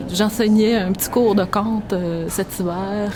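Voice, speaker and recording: A woman's medium-pitched voice over noticeable background noise. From Quebec City. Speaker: storyteller. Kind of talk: interview answer.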